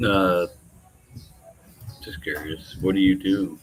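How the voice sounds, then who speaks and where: With an American accent, a man speaks at a fairly slow pace in a very deep, low voice. Noticeable background noise runs behind him. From US South, Nashville, Tennessee. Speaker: live streamer. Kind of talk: casual chat. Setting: live stream. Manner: casual.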